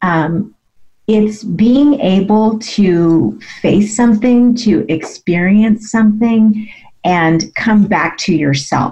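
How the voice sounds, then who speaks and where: A woman talks at a very slow pace in a fairly high pitch, with a somewhat breathy, dark, mellow tone. Her loudness stays very even, and her pitch varies in an ordinary way. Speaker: MS advocate and health coach. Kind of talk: radio interview, conversational personal storytelling. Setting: radio show interview. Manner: conversational, reflective, with filler words.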